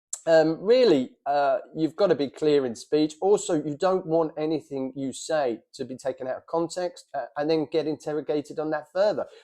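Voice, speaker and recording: A man with a fairly high pitch and a dark, mellow tone talks at a moderate pace with ordinary pitch variation and hardly any pauses. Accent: London. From London, England. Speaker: military veteran and former prisoner of war. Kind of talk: monologue to camera about experience. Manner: casual with many fillers.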